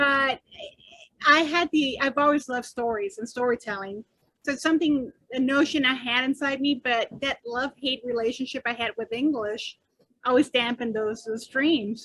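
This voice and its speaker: Her voice is high-pitched, with a bright, sharp tone and ordinary pitch variation. The woman speaks at a moderate pace in a dry, close sound with no echo. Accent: Spanish. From northern Mexico, raised in US. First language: Spanish. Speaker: author. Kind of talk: interview.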